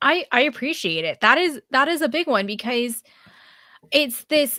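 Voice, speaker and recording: In a dry, close sound with no echo, a woman projects a raised, high-pitched voice with a bright, sharp tone, lively intonation and a moderate pace. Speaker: podcast host. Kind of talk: podcast interview.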